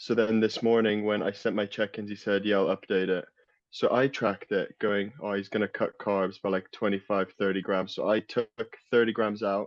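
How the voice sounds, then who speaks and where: A man's fairly low voice, monotone with flat intonation. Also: moderate pace. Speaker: natural bodybuilder. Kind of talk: casual chat.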